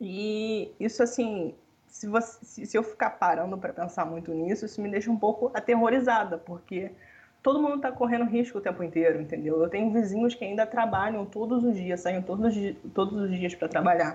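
A woman speaks at a fairly quick pace in a medium pitch. Her voice is somewhat breathy. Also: ordinary pitch variation. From Rio de Janeiro, Brazil. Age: 20s. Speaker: economics student. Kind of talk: casual interview.

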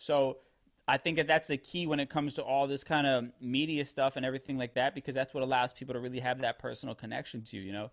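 Speaking at a very fast pace with an American accent, a man keeps a medium pitch and fairly even intonation, the sound dry and close with no echo over a quiet background. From New York, the Bronx. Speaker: radio producer and DJ. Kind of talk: interview.

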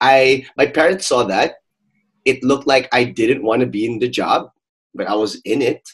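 This man has an unremarkable speaking voice. His pitch is medium and his pace moderate. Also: ordinary pitch variation. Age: 30s. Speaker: podcast host. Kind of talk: casual chat.

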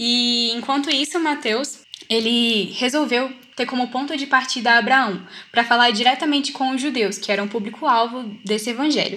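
Noticeable background noise sits behind a woman speaking fairly slowly at a high pitch with ordinary pitch variation. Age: young. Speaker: student, study group member. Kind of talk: casual Bible study discussion. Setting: video call.

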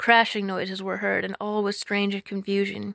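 Recorded very cleanly against a silent background, a woman speaks at a medium pitch with a dry, close sound and no echo. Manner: storyteller's measured, lilting narration.

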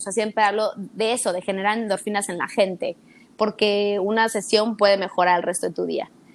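The speaker has a Mexican accent. The pace is fairly quick. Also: woman. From Mexico City. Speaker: fitness instructor. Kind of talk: casual interview chat. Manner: animated.

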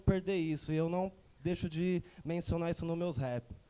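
This man has a high pitch and a dark, mellow tone, with fairly even intonation. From Suzano, São Paulo state. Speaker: rapper. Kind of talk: interview chat. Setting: studio.

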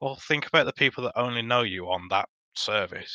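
A man with a medium pitch and a bright, sharp tone speaks at a moderate pace with lively intonation. The sound is dry and close with no echo, over a quiet background. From Dudley, West Midlands, England. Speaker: podcast guest. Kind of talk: casual chat.

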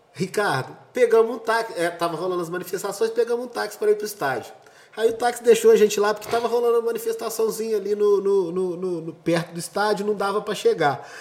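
Through noticeable background noise, a man speaks at a very fast pace with hardly any pauses. His pitch is high, with ordinary variation. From Brazil, Juiz de Fora. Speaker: event organizer. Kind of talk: casual chat.

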